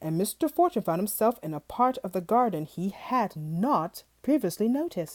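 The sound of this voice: Unforced voice, reading aloud.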